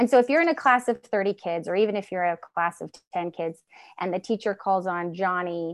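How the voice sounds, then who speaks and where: A woman with an unremarkable speaking voice and an American accent speaks at a medium pitch with ordinary pitch variation, in a dry, close sound with no echo against a quiet background. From Northern California. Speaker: homeschooling mother and advocate. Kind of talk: casual interview conversation. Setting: remote call from Washington state.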